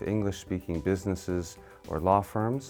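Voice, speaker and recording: Music plays in the background as a man speaks with an American accent. His pitch is very deep and low, and his pace is fairly slow. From United States. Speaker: law professor. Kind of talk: university lecture.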